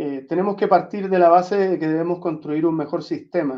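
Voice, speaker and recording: A high-pitched man with fairly even intonation. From Chile (Santiago and southern Chile). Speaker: veterinarian. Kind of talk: lecture. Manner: frequent fillers.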